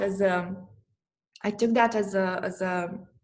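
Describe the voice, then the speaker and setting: A somewhat breathy woman with a Romanian accent speaks at a medium pitch with fairly even intonation. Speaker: astrologer and therapist. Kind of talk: interview conversation. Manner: halting, many repetitions.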